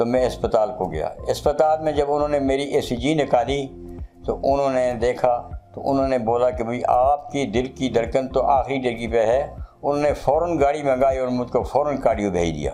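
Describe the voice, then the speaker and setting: A man's medium-pitched voice, with ordinary pitch variation, is heard over music in the background. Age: 70s. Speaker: heart patient. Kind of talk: interview answer.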